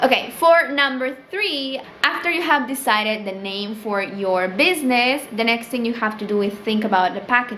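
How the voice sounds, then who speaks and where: A woman with a Spanish accent and a fairly high pitch talks at a moderate pace, with lively intonation and hardly any pauses. Audible room echo and noticeable background noise fill the recording. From Peru. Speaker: small business owner and vlogger. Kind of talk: casual tutorial vlog. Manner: casual, filler-heavy (um, like).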